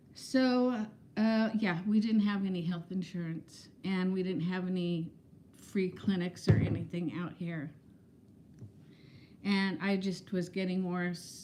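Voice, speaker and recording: A woman at a medium pitch, speaking at a very slow pace over noticeable background noise. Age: 60s. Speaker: vlogger. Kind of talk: casual livestream chat. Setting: livestream. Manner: animated.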